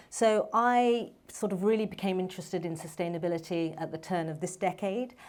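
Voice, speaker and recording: A woman speaks with a London accent at a medium pitch. Her pace is fairly quick, with hardly any pauses. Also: ordinary pitch variation. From England, London. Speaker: medical doctor and founder. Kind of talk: panel talk.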